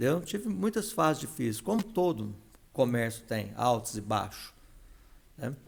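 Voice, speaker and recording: At a moderate pace, a man talks at medium pitch with vocal fry. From São Paulo city, Brazil. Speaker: entrepreneur and veterinarian. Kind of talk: podcast interview.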